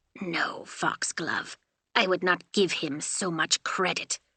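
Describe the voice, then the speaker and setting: Using a put-on character voice, a woman growls at a medium pitch. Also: fairly slow pace. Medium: read story. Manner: stern, terse.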